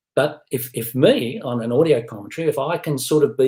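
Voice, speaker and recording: With a somewhat breathy quality, a man talks at a middling speed. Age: 60s. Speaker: film critic and professor. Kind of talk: interview conversation.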